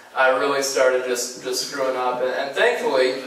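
Through audible room echo and light background noise, a man talks at a moderate pace. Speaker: guest. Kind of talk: sermon. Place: church.

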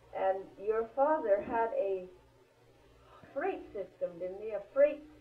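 Through noticeable background noise, a woman talks at a very slow pace with lively intonation. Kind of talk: interviewer questions.

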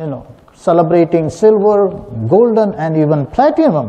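In a high voice, a man talks at a moderate pace with very wide pitch swings. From southern India. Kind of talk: sermon. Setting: church. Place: church.

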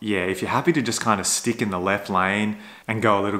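Fairly low in pitch, a man talks at a fairly quick pace with a bright, sharp tone. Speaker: electric car vlogger. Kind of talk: casual vlog chat. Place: home room. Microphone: phone near.

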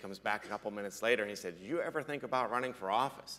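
Bright and sharp in tone, a man speaks with an American accent. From western Pennsylvania, Fayette County; western Pennsylvania. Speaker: state senator, business owner; state senator. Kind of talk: panel discussion. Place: stage.

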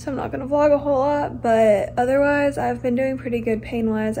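Soft-spoken, a woman talks at a moderate pace. There is light background noise. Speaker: vlogger. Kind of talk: casual vlog chat. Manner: soft, careful voice, sore neck. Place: home room. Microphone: phone near.

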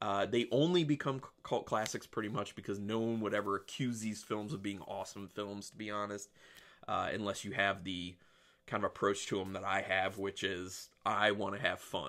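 A man, whose speaking voice is unremarkable, talks fairly low in pitch and at a moderate tempo. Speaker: film reviewer. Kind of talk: casual review vlog chat. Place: home room. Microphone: webcam.

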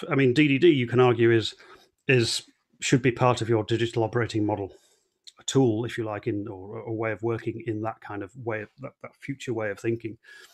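A man is speaking at a fairly quick pace. His intonation is fairly even. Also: quiet background. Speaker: conference presenter. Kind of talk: online talk presentation. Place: home room. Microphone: headset.

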